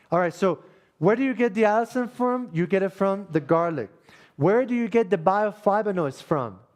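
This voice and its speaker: A man speaks in an animated tone with a Spanish accent. His intonation is lively. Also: quiet background. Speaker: health workshop presenter. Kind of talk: workshop lecture. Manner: animated, conversational.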